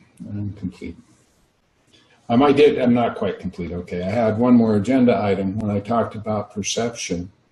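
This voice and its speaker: Somewhat breathy and dark, mellow in tone, a man speaks at a fairly low pitch and moderate pace with fairly even intonation. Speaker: workshop facilitator. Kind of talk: casual chat. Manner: soft-spoken.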